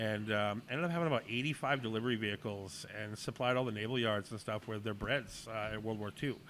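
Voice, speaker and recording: With a Boston accent, a man talks at a very fast pace and medium pitch, leaving hardly any pauses. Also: ordinary pitch variation. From New England (Boston and Portland, Maine). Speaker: chef and restaurant owner. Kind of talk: casual interview.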